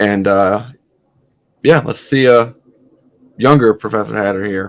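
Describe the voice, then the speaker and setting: A man's fairly low voice with vocal fry and lively intonation at a moderate pace. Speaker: hat reviewer YouTuber. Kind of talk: casual vlog monologue. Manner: hesitant, many fillers.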